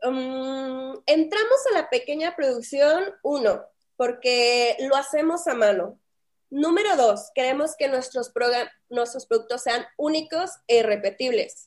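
A woman with a high pitch and lively intonation speaks at a very slow pace. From northern Mexico, Saltillo, Coahuila. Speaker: fashion brand founder and designer. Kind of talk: interview.

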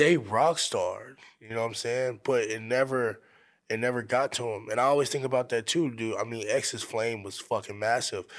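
In a very clean recording with a silent background, a man with a plain, everyday voice speaks at medium pitch and a moderate pace. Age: 20s. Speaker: rapper. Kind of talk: casual chat. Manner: casual, profane.

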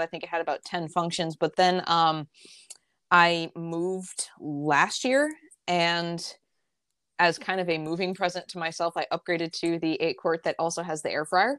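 A woman with an American accent talks at a moderate pace in a normal speaking voice with fairly low pitch. The recording is very clean and silent in the background, with a dry, close sound and no echo. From upstate New York, near Albany. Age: 30s. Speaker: health coach and nutrition writer. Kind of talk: casual interview.

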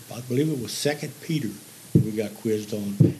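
A medium-pitched man with a Missouri accent talks with ordinary pitch variation amid audible room echo. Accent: Southern Midland US (Missouri). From Missouri, southeast (Bloomfield). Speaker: retired grocery manager and gospel singer. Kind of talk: testimony. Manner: halting.

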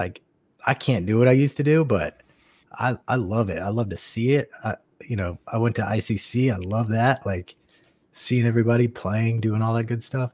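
On a very clean recording with a silent background, a man with an unremarkable speaking voice talks at a medium pitch and moderate pace with ordinary pitch variation, the sound dry and close with no echo. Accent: American. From North Carolina (Raleigh, Greensboro). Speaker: veteran paintball player. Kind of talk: casual chat.

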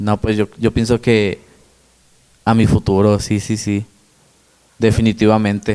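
Fairly slow, fairly low male voice with a dark, mellow tone, monotone and flat intonation and long, frequent pauses, dry and close with no echo. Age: 20s. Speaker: rapper. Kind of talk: casual interview.

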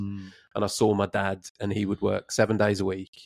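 Speaking with a West Midlands accent, a man talks at a moderate pace in a fairly low pitch, in a very clean recording with a silent background and a dry, close sound with no echo. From England, Redditch (West Midlands). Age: 30s. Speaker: podcast host. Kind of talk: casual interview chat.

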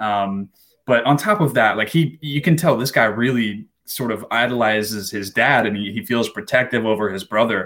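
A man with an ordinary speaking voice at a medium pitch and ordinary pitch variation, in a very clean recording with a silent background. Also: moderate pace. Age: 20s. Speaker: podcast co-host. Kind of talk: casual chat.

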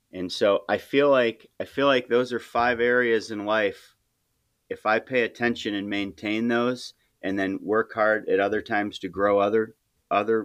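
A plain, everyday voice speaks at a moderate pace with fairly even intonation. The background is quiet. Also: man. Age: 40s. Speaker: high school teacher and coach. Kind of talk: casual interview.

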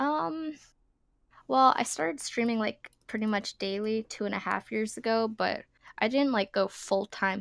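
A woman with a medium pitch speaks at a fairly slow pace in a normal speaking voice. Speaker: RuneScape streamer. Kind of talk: casual podcast interview.

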